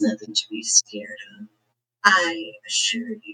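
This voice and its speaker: A put-on character voice delivers its lines at a low pitch and a fairly slow pace. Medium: actual play. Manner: smooth, calm, coaxing.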